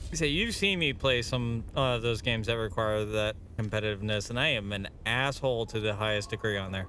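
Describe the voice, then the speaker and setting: Speaking at a fairly quick pace with hardly any pauses, a man with an American accent uses a medium pitch and ordinary pitch variation. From Boston. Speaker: gaming streamer. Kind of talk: live gameplay stream chat. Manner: animated.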